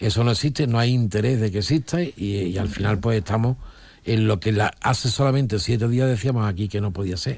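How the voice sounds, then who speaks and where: On a very clean recording with a silent background, a man talks at a fairly quick pace in a somewhat breathy, fairly low voice with ordinary pitch variation. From Olivenza, Extremadura, Spain. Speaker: political commentator, former regional politician. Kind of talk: radio panel discussion.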